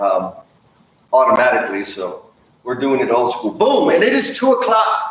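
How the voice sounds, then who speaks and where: An animated man with an American accent, long and frequent pauses, and audible room echo. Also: moderate pace. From Texas, San Antonio. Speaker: construction improvement consultant, former plumber. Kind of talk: live stream presentation. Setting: live stream. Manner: animated, casual.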